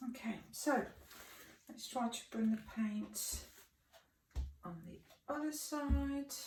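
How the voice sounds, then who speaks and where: A woman speaks at a very slow pace in a fairly high, somewhat breathy voice with ordinary pitch variation and big swings in loudness. Long, frequent pauses break her speech, and the room echo is audible. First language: French. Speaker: fluid artist. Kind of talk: tutorial.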